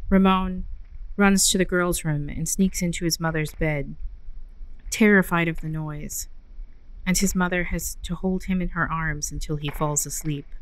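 Fairly even intonation in a normal speaking voice. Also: woman, fairly low pitch for a woman, moderate pace. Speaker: library reader of ghost stories. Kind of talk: audio story reading / narration.

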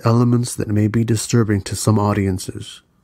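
A man speaks with a fairly low pitch and a dark, mellow tone. His intonation stays fairly even. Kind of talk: true crime documentary narration.

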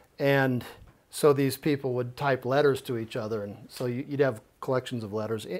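A man of medium pitch with an American accent, a normal speaking voice, fairly even intonation and a moderate pace, in a very clean recording with a silent background. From Colorado, Jefferson County. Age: 50s. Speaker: software architect and activist. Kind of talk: guest lecture.

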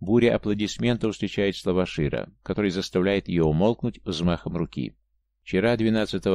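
At a moderate pace and a very deep, low pitch, a man speaks over a quiet background. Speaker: audiobook narrator. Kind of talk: audiobook reading of a memoir, first-person narration.

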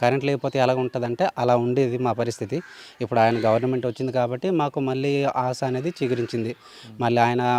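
A man with an unremarkable speaking voice talks at a medium pitch with fairly even intonation, in a dry, close sound with no echo. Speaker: villager. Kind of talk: interview.

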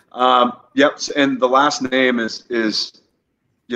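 A man with an American accent can be heard, the background quiet. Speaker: whiskey brand representative; guest. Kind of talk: casual interview chat. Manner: hesitant, many fillers. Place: home room. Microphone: video call.

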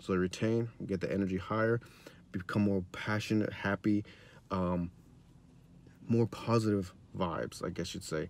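At a moderate pace, a man with a fairly low pitch and fairly even intonation speaks with long, frequent pauses in a dry sound with no echo. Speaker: self-help YouTuber. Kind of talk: motivational vlog monologue. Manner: halting, many fillers and repeats. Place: car. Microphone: phone near.

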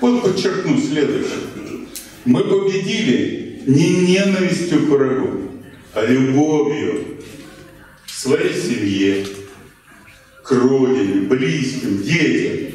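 The man talks at a very slow pace with long, frequent pauses, very wide pitch swings and very even loudness. Strong room echo surrounds him, and faint music plays in the background. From Russia. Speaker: historian presenting his book. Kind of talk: lecture. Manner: conversational, with fillers. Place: hall.

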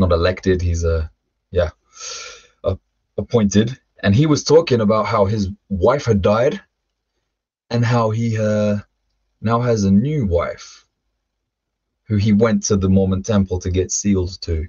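A somewhat breathy man with a London accent, fairly low in pitch, with long, frequent pauses. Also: ordinary pitch variation, moderate pace, quiet background. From London, England (also Ireland). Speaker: former rap metal vocalist; podcast guest. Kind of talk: interview testimony. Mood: reflective storytelling. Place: home room. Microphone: webcam.

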